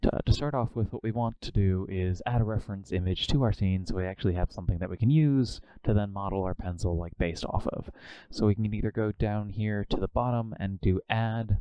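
An ordinary speaking voice from a man, fairly low in pitch with ordinary pitch variation and a fairly quick pace, dry with no echo over a quiet background. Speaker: workshop instructor. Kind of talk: tutorial. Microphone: video call.

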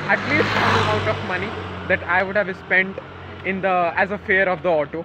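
A raised, projected voice at a moderate pace over noticeable background noise. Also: man. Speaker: college student vlogger. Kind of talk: casual vlog chat. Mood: upbeat, happy. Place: street. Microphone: phone near.

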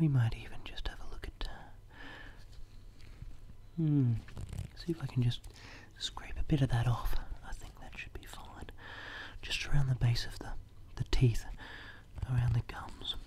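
Over light background noise, a soft-spoken man leaves long, frequent pauses. His loudness swings widely. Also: moderate pace. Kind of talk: soft role-play talk to the viewer. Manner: soft close ASMR murmur. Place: home room. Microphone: phone near.

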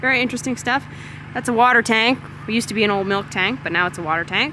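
A woman talks at a very fast pace in a dry sound with no echo, with noticeable background noise behind her. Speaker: farm vlogger. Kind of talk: casual vlog chat. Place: farm machine. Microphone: phone near.

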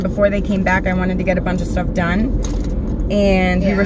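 Loud background noise surrounds a woman speaking at a moderate pace, the sound dry with no echo. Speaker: makeup vlogger. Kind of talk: casual vlog chat. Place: car. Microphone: phone near.

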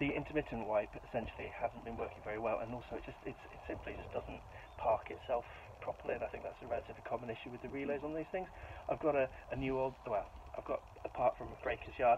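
A man rattles off his words very fast while noticeable background noise sounds behind him. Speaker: car hobby vlogger. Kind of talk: casual vlog chat. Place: street. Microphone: phone near.

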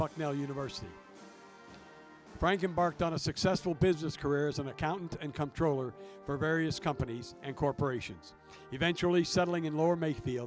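Music plays in the background as a man with a fairly high pitch speaks at a fairly quick pace. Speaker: stadium public address announcer. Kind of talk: ballpark PA tribute announcement. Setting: PA system.

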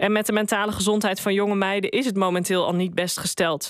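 The speaker talks at a fairly quick pace with fairly even intonation, in a dry sound with no echo against a quiet background. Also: woman. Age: 40s. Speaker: columnist; radio columnist. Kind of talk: opinion column read aloud. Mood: wry, critical opinion. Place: studio. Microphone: studio mic.

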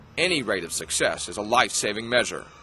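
This is a man's voice. Noticeable background noise runs underneath. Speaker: news anchor. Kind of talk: TV news report narration.

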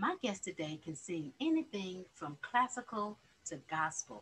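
Fairly slow speech from a woman, with light background noise. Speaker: talk show host. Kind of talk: interview. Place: home room. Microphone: webcam.

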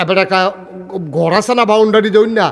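The speaker is a man. His pitch is high. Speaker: Islamic preacher. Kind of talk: sermon. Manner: animated.

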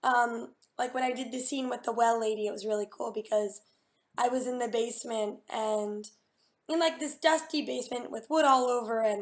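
At a moderate pace, a woman speaks in a high pitch with ordinary pitch variation. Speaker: voice actor. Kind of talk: interview answer. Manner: casual, hesitant. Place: home room. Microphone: webcam.

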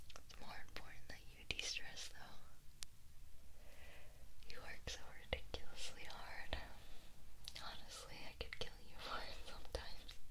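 A soft-spoken, whispering voice moves at a moderate pace with long, frequent pauses. Noticeable background noise runs underneath. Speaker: ASMR roleplay voice actor. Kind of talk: roleplay monologue to listener. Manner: soft intimate whisper, caring tone.

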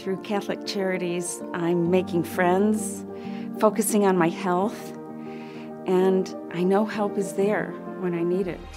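A woman speaking at a very slow pace over clear background music. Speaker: voice actor. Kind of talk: TV commercial read. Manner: confident, caring. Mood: warm, confident, earnest.

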